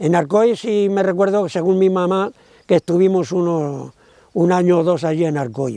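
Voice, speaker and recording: A man's high-pitched voice, dark and mellow in tone, at a moderate pace with ordinary pitch variation. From Andalusia, Córdoba province (rural village). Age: 80s+. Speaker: interviewee, son of a Nazi camp deportee. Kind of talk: testimony. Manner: halting.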